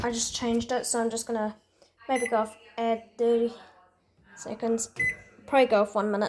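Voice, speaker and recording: A woman with a fairly high pitch talks at a fairly quick pace in a monotone, flat intonation, with long, frequent pauses. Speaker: laundry video maker. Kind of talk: casual vlog narration. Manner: quiet, keeping voice down; halting, repeats words.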